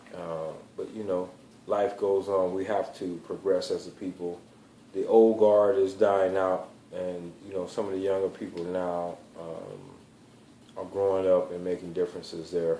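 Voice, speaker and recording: A man's very deep, low voice has a dark, mellow tone, a monotone, flat intonation and big swings in loudness. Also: moderate pace. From US South, South Carolina. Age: 40s. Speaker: motivational speaker. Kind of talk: personal vlog monologue. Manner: hesitant, with many fillers.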